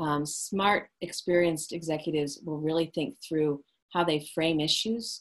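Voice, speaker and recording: This is a woman speaking. Her pitch is fairly low. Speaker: leadership coach. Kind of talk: webinar presentation. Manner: fast.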